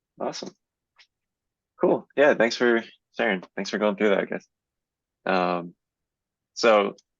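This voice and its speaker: A man with a fairly low voice talks at a fairly slow pace, leaving long, frequent pauses. His ordinary pitch variation comes through in a dry, close sound with no echo. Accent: American. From Central Florida. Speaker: software engineering mentor. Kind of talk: workshop presentation.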